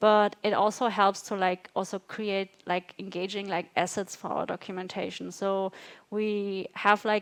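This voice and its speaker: In a non-native accent, a woman speaks at a medium pitch with flat, monotone intonation. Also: dry, close sound with no echo, quiet background. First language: not English. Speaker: design systems manager. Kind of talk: fireside chat. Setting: live event with audience.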